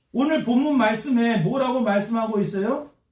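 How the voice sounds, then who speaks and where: Lively intonation comes at a very slow pace, with audible room echo. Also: man. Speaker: pastor. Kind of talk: sermon. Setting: church with congregation responding. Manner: call-and-response preaching, asks congregation questions.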